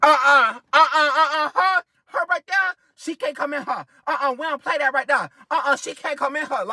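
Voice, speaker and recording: Someone performs a put-on character voice at a high pitch and a moderate pace. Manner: dismissive, refusing.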